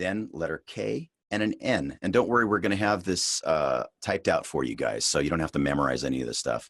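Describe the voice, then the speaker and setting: A man's relaxed tone at a moderate pace, with a dry, close sound and no echo. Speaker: voice actor. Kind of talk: voice acting tutorial talk to camera. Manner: casual, relaxed.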